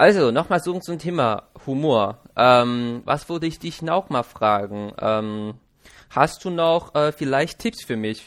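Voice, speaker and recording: Against a quiet background, a man with a Chinese accent speaks very slowly at a fairly high pitch. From China. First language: Chinese (speaking German). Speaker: podcast host. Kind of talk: casual interview. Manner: halting.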